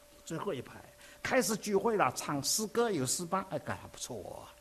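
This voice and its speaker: A man's fairly quick speech with very wide swings in pitch. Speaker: visiting preacher. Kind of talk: sermon.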